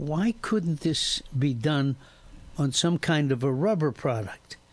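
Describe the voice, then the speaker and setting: A man with a fairly high pitch speaks at a very slow pace, somewhat breathy. His intonation is lively and his loudness very even. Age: 80s+. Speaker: retired football coach, fitness inventor. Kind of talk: radio interview.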